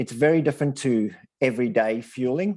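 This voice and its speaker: Speaking with an Australian accent, a man uses a dark, mellow tone at a moderate pace. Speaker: sports nutrition presenter. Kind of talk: online presentation. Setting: video call.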